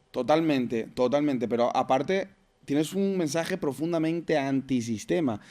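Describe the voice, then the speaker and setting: A man's fairly high voice rises and falls in an ordinary way as he talks fairly quickly. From Venezuela. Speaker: podcast host. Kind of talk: podcast interview.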